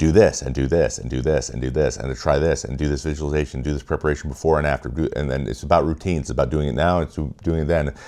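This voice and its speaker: In an American accent, a man with a very deep, low pitch and a dark, mellow tone with vocal fry speaks at a very fast pace with hardly any pauses and fairly even intonation. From US Pacific Northwest, Washington state. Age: 30s. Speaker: former pro baseball pitcher, video essayist. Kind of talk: video essay monologue. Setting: home office studio.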